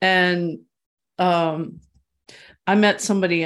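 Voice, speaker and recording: A woman speaks against a quiet background. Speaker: author and journalist. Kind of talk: interview.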